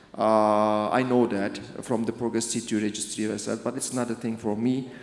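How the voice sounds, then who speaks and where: Over noticeable background noise and audible room echo, a man speaks in a medium pitch at a moderate pace. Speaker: interventional cardiologist. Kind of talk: conference presentation. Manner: halting.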